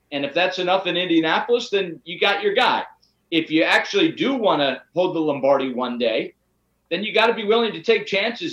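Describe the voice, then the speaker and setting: The speech comes at a moderate pace with an American accent. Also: man. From Pittsburgh, Pennsylvania. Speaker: sports broadcaster. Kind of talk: casual sports debate.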